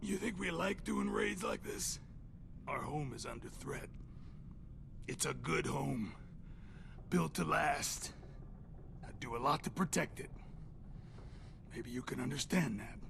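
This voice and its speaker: A put-on character voice moves at a fairly slow pace with long, frequent pauses over loud background noise. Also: man. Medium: video game. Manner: crude, sardonic.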